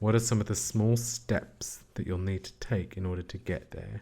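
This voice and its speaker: A man's fairly low, somewhat breathy voice with a dark, mellow tone, at a moderate pace, on a very clean recording with a silent background. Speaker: CBT therapist. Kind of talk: educational podcast talk.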